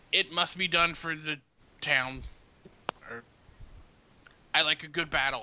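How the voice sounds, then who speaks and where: Using a put-on character voice, a man speaks raspily at a fairly high pitch and a moderate pace, with long, frequent pauses. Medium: actual play. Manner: blunt, gruff.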